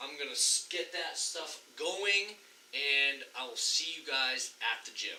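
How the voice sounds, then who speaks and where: A man talks at a very slow pace, with noticeable background noise behind him. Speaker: fitness vlogger. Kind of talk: vlog narration. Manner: loud; energetic.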